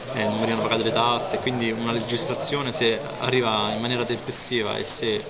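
Loud background noise fills the clip as the words come at a fairly quick speed. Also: man. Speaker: brand spokesman. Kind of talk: interview answer. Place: hall.

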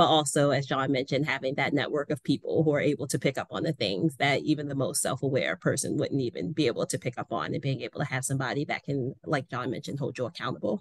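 A woman's very deep, low voice at a very fast pace with hardly any pauses, ordinary pitch variation, a quiet background and a dry sound with no echo. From Baltimore, US. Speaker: nonprofit development director; panelist. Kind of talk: panel discussion. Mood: earnest, somewhat disheartened. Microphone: video call.

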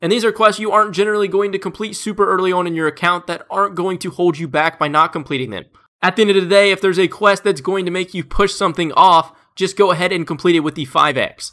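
Raised and projected, a man's high voice races along very fast with hardly any pauses and ordinary pitch variation, on a very clean recording with a silent background. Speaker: gaming YouTuber. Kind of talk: tutorial. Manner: casual, informal.

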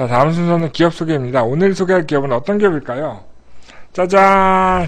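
The speaker is a man. He talks at a fairly quick pace with lively intonation. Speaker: live streamer host. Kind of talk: live stream news briefing, casual chat. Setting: live online broadcast. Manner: animated, chatty.

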